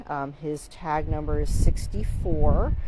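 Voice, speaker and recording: A woman speaks over noticeable background noise. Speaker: marine mammal rescue center staff presenter. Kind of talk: live video walkthrough update. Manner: casual, hesitant with fillers; quiet.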